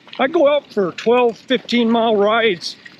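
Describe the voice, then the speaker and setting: A man's high-pitched voice with ordinary pitch variation, amid noticeable background noise. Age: 60s. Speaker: vlogger. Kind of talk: casual vlog talk to camera. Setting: outdoors. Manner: animated.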